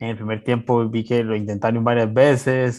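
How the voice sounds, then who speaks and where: A man speaks at a moderate pace and a medium pitch. His intonation is monotone and flat against a quiet background. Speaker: football podcast co-host. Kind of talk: casual sports chat. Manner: halting.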